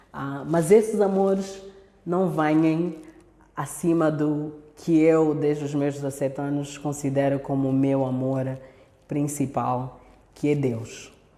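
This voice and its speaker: A woman's very slow speech in an Angolan accent, very deep and low in pitch, with ordinary pitch variation and audible room echo. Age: 30s. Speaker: speaker at women's church event. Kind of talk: talk to church women's online meeting.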